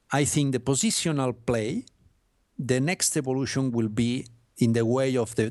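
With a Spanish accent and ordinary pitch variation, a man speaks against a quiet background. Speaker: sports journalist and author. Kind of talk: interview. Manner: halting, hesitant English; apologetic.

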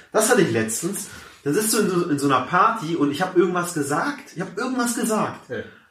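Very fast speech from a man, high-pitched with very wide pitch swings, plus audible room echo and noticeable background noise. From Hamburg, Germany, Persian family. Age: 20s. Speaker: comedian. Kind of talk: casual interview chat.

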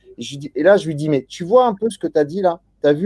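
Recorded with a dry, close sound and no echo, a man speaks at a moderate pace in a dark, mellow tone with ordinary pitch variation. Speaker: podcast host. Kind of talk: interview. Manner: hesitant.

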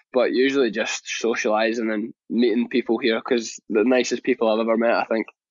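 A man talks at a fairly quick pace with hardly any pauses. His medium-pitched voice has a monotone, flat intonation. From Scotland. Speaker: professional soccer player. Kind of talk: interview. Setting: live interview.

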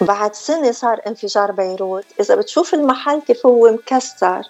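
Speech comes at a fairly slow pace with ordinary pitch variation, and noticeable background noise runs beneath it. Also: woman. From northern Lebanon. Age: 50s. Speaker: beautician and former media personality. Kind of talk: interview.

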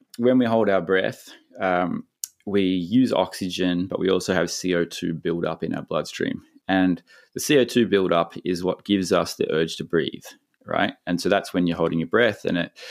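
Words come at a moderate pace. An Australian accent is present. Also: man. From Victoria, Australia. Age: 40s. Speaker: big wave surfer and breath-hold coach. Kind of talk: casual interview chat.

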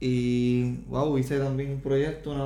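A man speaks at a medium pitch. Audible room echo and noticeable background noise surround him. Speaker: podcast host. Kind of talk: casual chat. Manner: animated.

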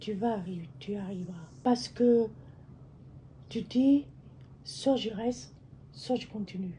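Speaking at a very slow pace with long, frequent pauses, a woman with a medium pitch and a dark, mellow tone sounds somewhat breathy, her intonation lively. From Cambodia. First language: Khmer (speaking French). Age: 60s. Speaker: refugee mother. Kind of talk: personal testimony.

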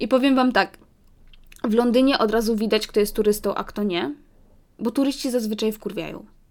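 Her tone animated, a woman with a fairly high pitch speaks with long, frequent pauses. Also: fairly quick pace. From London, Poland-born family. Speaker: podcaster, student. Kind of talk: casual monologue podcast.

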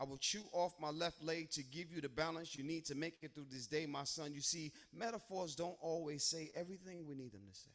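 A man speaks in a fairly high pitch at a fairly quick pace. His tone is intense and dramatic, with ordinary pitch variation. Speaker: spoken word poet, co-host. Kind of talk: spoken word poetry performance. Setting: open mic night with live audience. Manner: intense, rhythmic, dramatic cadence.

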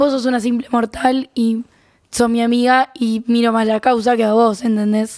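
A woman's fairly high, monotone, flat voice at a moderate pace. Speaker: podcast co-host, psychology student. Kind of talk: casual chat.

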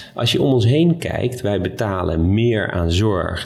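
Noticeable background noise underlies a man who speaks very slowly. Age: 40s. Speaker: hospital doctor. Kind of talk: casual chat. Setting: restaurant.

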